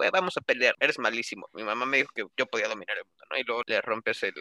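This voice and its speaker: The speech rushes by at a very fast pace in a dry, close sound with no echo. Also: man. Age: 20s. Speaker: podcast guest, gaming enthusiast. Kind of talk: casual chat. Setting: video call.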